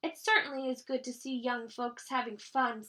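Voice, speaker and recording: A woman's high-pitched put-on character voice at a moderate pace. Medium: read story. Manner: warm, doting.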